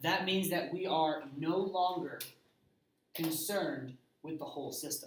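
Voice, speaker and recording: Speaking at a fairly slow pace with long, frequent pauses, a man uses a high pitch and ordinary pitch variation amid audible room echo. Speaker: high school physics teacher. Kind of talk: lecture.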